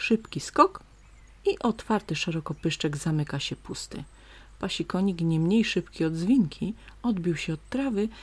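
Recorded very cleanly against a silent background, a woman speaks in a somewhat breathy, gentle, soothing tone with lively intonation. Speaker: nature story narrator. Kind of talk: bedtime story reading aloud with nature sounds. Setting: home, recorded with stream and birds outside window. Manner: slow, soft, gentle, soothing storyteller.

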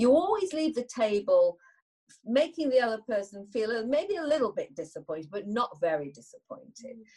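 A woman with a Yorkshire accent, high pitch and a dark, mellow tone, moderate pace, very wide pitch swings and big swings in loudness. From northern England. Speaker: business leader. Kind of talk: interview.

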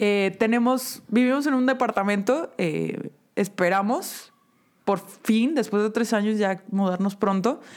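Using a normal speaking voice, a woman talks at a fairly slow pace and fairly high pitch, with ordinary pitch variation and very even loudness. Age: 30s. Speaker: podcast co-host. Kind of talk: casual chat.

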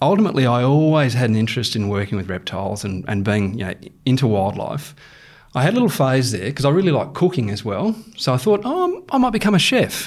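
A man's very fast talk at a medium pitch, with very wide pitch swings and an Australian accent. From Queensland, Australia (Rockhampton). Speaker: wildlife manager, former crocodile researcher. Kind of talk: interview.

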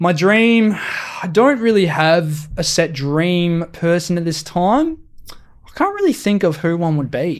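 A high-pitched man's voice with an Australian accent, ordinary pitch variation and a very slow pace. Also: hardly any pauses. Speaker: podcast co-host. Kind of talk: casual chat.

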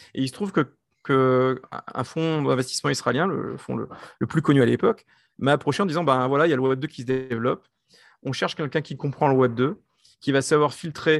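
A man speaks fairly quickly at a medium pitch with ordinary variation. The recording is very clean, dry and close, with a silent background and no echo. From France. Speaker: tech entrepreneur and investor. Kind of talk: interview. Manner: halting.

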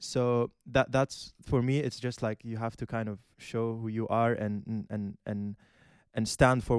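A man with a medium-pitched voice is recorded very cleanly against a silent background, with a dry, close sound and no echo. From Qatar, of Syrian family. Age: 20s. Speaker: university student. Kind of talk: panel discussion.

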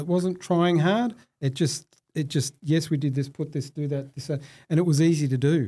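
A man with an Australian accent, fairly high-pitched and somewhat breathy, at a moderate pace with ordinary pitch variation. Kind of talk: interview.

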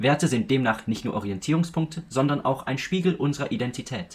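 A man's fairly high, somewhat breathy voice, with lively intonation and a fairly quick pace. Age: young. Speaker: student podcast co-host. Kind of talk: scripted narration.

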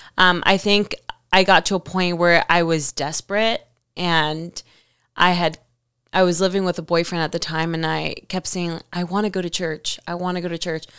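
With an American accent, a woman of fairly low pitch speaks in a monotone, flat delivery at a moderate pace on a very clean recording with a silent background. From Miami, Florida. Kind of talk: casual chat.

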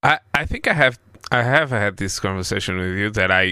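Bright, sharp tone in a Portuguese accent. The intonation is lively. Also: man. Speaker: podcast host. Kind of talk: casual chat.

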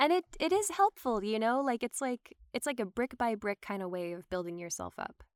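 A woman's fairly high voice with an American accent, very wide pitch swings and hardly any pauses at a moderate pace, dry and close with no echo. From US South (Georgia). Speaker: actor and voiceover artist. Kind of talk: casual chat. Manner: chatty, many fillers.

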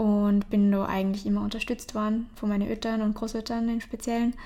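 This woman's somewhat breathy voice sits at a medium pitch, moving at a moderate pace with fairly even intonation in a very clean recording with a silent background. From Austria, Traunsee area (Upper Austria). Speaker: painter. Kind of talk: interview. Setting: artist's studio.

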